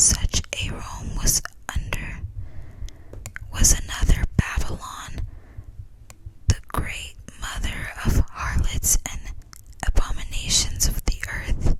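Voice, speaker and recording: A whisper moves along very slowly, broken by long, frequent pauses. Behind it lies noticeable background noise. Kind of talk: whispered book reading for relaxation. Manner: whispered, soft-spoken.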